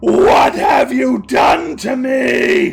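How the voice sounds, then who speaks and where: A man shouts and growls in a put-on character voice. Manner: blood-curdling, screaming.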